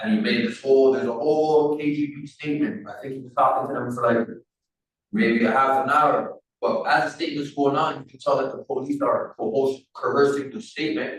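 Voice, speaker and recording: A man has an unremarkable speaking voice, pitched fairly high with ordinary pitch variation. He moves at a fairly quick pace. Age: 30s. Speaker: prisoner telling his life story. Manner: casual, conversational.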